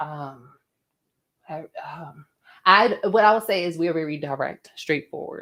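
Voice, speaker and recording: A woman with a fairly low pitch, a bright, sharp, animated tone, ordinary pitch variation, big swings in loudness and a fairly slow pace with long, frequent pauses. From Philadelphia, North Philly. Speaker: podcast co-host. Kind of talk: casual chat. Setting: live stream.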